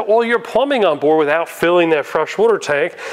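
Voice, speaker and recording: This is a man's voice. He talks at a fairly quick pace. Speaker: presenter. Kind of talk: product walkthrough tour. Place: shop. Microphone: lapel.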